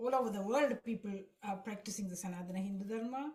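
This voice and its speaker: Somewhat breathy, this voice keeps its intonation fairly even. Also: woman. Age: 60s. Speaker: devotee sharing experiences. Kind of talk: testimony. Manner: halting.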